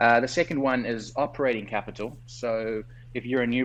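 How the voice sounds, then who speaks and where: This man speaks at a medium pitch with a South African accent. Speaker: doctor and entrepreneur. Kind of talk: interview. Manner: articulate, structured.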